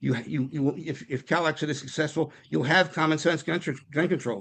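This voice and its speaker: A man with a fairly high pitch and vocal fry, at a fairly quick pace against a quiet background. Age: 70s. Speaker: political activist. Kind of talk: public meeting discussion. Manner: halting, many repetitions.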